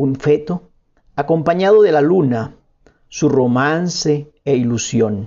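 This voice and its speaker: Very slow, very even in loudness, a man's voice pitched fairly high. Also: ordinary pitch variation. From Colombia, La Guajira. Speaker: poet and painter. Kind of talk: interview with read-aloud prose.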